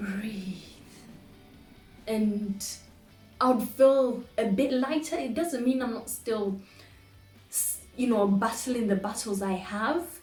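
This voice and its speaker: Music plays behind a woman speaking at a fairly high pitch with ordinary pitch variation. She goes at a very slow pace, with long, frequent pauses. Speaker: poet. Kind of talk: personal reflection to camera.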